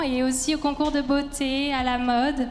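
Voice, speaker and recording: A high-pitched female voice amid audible room echo and noticeable background noise. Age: 20s. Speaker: beauty pageant contestant. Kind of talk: prepared speech. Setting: stage with audience. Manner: halting.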